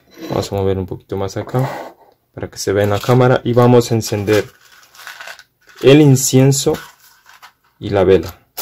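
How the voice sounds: A man speaks at a moderate pace with fairly low pitch and a dark, mellow tone. His pitch varies an ordinary amount, and he leaves long, frequent pauses.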